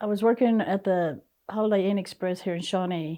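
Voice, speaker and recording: A woman speaks with an American accent and ordinary pitch variation. Music is playing in the background. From Oklahoma, Wewoka (Seminole Nation). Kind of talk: personal testimony interview.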